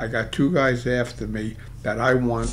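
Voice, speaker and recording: A man talks at medium pitch with a strong Brooklyn accent. His intonation is fairly even, and audible room echo surrounds him. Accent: Brooklyn accent, still strong. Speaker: poker coach. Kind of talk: game commentary tutorial. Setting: studio. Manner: casual, with many fillers.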